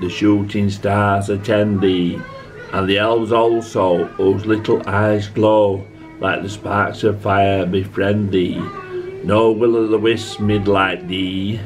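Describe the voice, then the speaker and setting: Clear music plays in the background as a man talks at a very slow pace. His intonation is monotone and flat. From Yorkshire, England. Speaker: amateur poetry reader. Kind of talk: poetry reading. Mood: calm, tender recital. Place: home room. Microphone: phone near.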